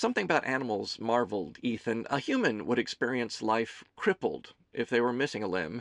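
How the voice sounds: What is heard is a natural reading voice.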